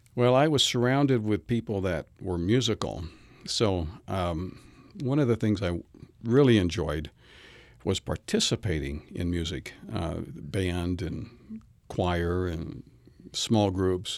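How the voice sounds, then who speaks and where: With a very deep, low pitch, a man speaks at a very slow pace with lively intonation and long, frequent pauses, in a very clean recording with a silent background. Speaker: receptionist and voice actor.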